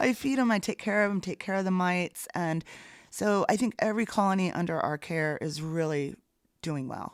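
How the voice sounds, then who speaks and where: Recorded very cleanly against a silent background, a woman at a medium pitch talks at a moderate pace in an enthusiastic tone. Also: ordinary pitch variation. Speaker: bee removal specialist. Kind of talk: interview.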